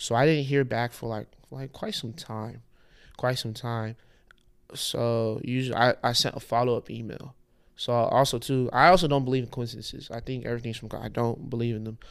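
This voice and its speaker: Fairly quick and fairly even in intonation, this is an unremarkable speaking voice. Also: man, medium pitch for a man. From Houston, Texas (Nigerian parents). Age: 30s. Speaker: fashion designer. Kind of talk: casual chat.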